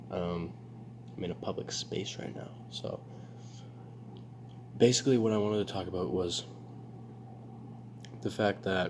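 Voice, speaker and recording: This quiet man has a fairly low voice with vocal fry. His pitch swings very widely. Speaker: self-improvement vlogger. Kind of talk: casual vlog monologue. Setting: public space. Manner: hesitant, filler-heavy.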